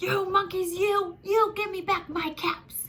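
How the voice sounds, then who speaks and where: Putting on a squeaky character voice, a woman speaks at an extremely high pitch, fairly slowly, with monotone, flat intonation. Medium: read story. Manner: stammering when angry.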